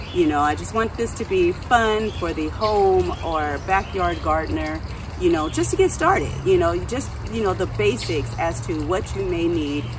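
Noticeable background noise surrounds the speaker. A woman talks at a fairly slow pace. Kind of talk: casual vlog chat. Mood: friendly, relaxed. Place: garden. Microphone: camera far.

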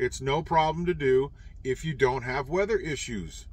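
The speech comes at a fairly slow pace, with a dry sound and no echo. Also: man. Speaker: truck driver vlogger. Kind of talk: casual vlog chat. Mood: exasperated about bad road. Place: car. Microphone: phone near.

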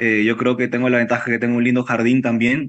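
A man speaks with flat, monotone intonation. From Peru. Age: 30s. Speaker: chef and restaurant owner. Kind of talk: interview. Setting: video call. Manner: halting. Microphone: video call.

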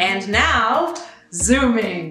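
At a very slow pace, the speech carries audible room echo over faint music in the background. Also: woman. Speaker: program host. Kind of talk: promotional narration to camera. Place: home room.

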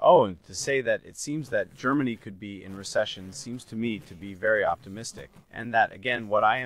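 A man's voice at a fairly quick pace, with a dry sound and no echo. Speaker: guest. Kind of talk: interview answer. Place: office. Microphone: studio mic.

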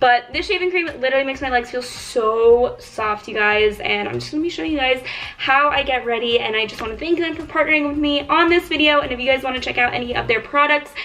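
Raised and projected, a woman's voice races at a very fast pace with hardly any pauses over light background noise. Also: ordinary pitch variation. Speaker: beauty vlogger. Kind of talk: casual vlog chat. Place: home room. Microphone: phone near.

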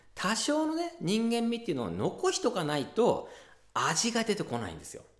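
A male speaker keeps a moderate pace. Behind him the background is quiet. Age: 40s. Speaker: ocarina teacher and channel host; ocarina teacher, channel host. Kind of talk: casual tutorial talk to camera. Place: home room.

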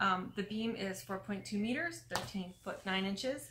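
Ordinary pitch variation in a woman's speech. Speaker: travel vlogger. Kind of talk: casual vlog chat. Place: home room. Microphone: phone near.

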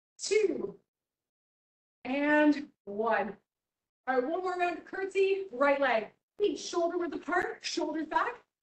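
A woman's extremely high voice with very wide pitch swings, at a very slow pace full of long, frequent pauses, amid audible room echo. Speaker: fitness instructor. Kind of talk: guided fitness class with cued exercise instructions. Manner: brisk rhythmic cueing, encouraging and upbeat, counting down reps. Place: gym.

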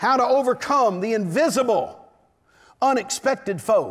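A man's voice shows ordinary pitch variation. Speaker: preacher. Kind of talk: sermon. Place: church. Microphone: headset.

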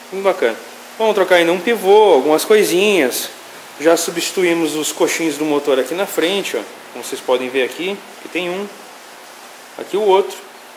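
Over light background noise, a man with a high pitch speaks at a moderate pace with ordinary pitch variation and long, frequent pauses. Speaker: mechanic and YouTube channel host. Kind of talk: workshop tutorial video. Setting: mechanic workshop. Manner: animated. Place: workshop. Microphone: phone near.

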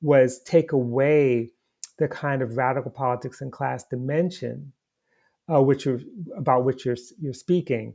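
A man with an American accent speaks at a moderate pace in a dark, mellow tone, using fairly even intonation and long, frequent pauses against a quiet background. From United States. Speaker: historian and professor. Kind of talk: interview conversation. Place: home room. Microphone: earbuds.

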